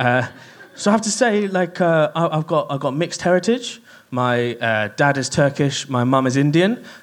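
Noticeable background noise sits behind a man talking at a moderate pace with lively intonation. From Kent, England. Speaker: comedian. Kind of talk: stand-up. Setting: stage with audience.

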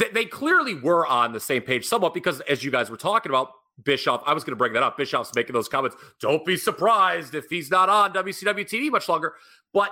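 Bright and sharp in tone, a man's fairly high voice swings very widely in pitch and shows vocal fry. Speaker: podcast host. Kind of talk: interview conversation.

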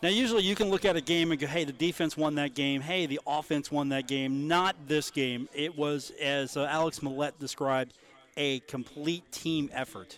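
With an unremarkable speaking voice, a man talks at a moderate pace and a fairly high pitch, using ordinary pitch variation. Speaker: radio sports host. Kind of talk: casual sports talk radio. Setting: live radio broadcast from a pub.

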